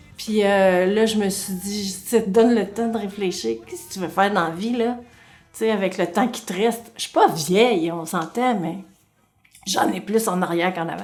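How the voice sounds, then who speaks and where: A Quebec accent at a moderate pace, with big swings in loudness and fairly even intonation, over music in the background. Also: woman, medium pitch for a woman. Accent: Québécois French. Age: 60s. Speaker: comedian. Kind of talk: interview.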